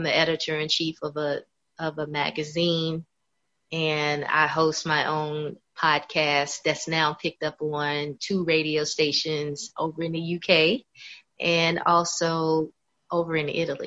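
Very deep, low pitch in a bright, sharp tone from a woman with a Southern US accent, monotone and flat, at a fairly slow pace. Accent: Southern American English. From US South (Kentucky, Florida). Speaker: singer and author. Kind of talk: interview.

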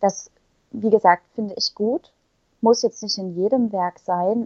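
The sound is dry and close, with no echo. A woman speaks at medium pitch. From Saxony, Ore Mountains (eastern Germany). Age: young. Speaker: poet. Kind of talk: casual interview. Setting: remote recording.

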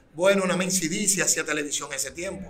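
A man with a high pitch speaks in fairly even intonation over noticeable background noise and audible room echo. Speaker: urban music artist. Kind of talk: interview.

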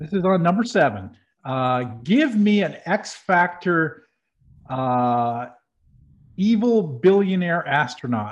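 A man's very slow speech, high-pitched for a man, with very wide pitch swings and long, frequent pauses. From New Hampshire. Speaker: podcast co-host. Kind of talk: casual chat. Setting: studio.

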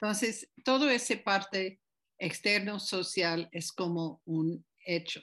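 At a very slow pace, a woman speaks at a medium pitch with ordinary pitch variation. The background is quiet. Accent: English. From United States. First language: English (speaking Spanish). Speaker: group facilitation teacher. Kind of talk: interview. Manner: halting.

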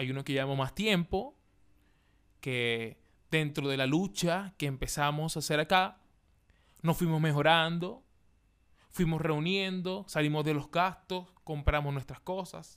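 In a very clean recording with a silent background, a man speaks at a fairly high pitch and a fairly slow pace, using ordinary pitch variation and long, frequent pauses. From Venezuela, Maracaibo. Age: 20s. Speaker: podcast host, comedian. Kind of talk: casual monologue.

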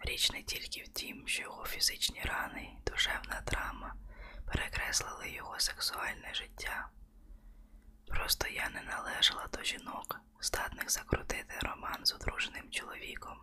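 Someone whispers while noticeable background noise carries on behind. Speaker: audiobook narrator. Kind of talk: ASMR audiobook reading, bedtime-story style. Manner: soft, slow, intimate, hushed narration.

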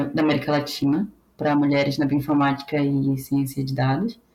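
A woman with a very deep, low pitch speaks at a moderate pace over noticeable background noise. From Brazil, Pará (Belém). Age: 20s. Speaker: biotechnologist working in bioinformatics. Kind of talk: casual interview.

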